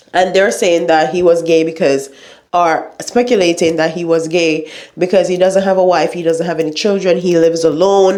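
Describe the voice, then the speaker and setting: A woman speaks at a moderate pace with a fairly low pitch and a dark, mellow tone, her intonation fairly even and audible room echo around her. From Jamaica. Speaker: YouTuber. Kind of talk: news commentary vlog.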